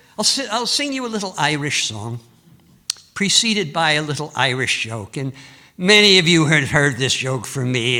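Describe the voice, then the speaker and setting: Audible room echo surrounds a man with a bright, sharp tone who speaks at a moderate pace with very wide pitch swings. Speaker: folk singer and entertainer. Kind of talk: storytelling performance on stage.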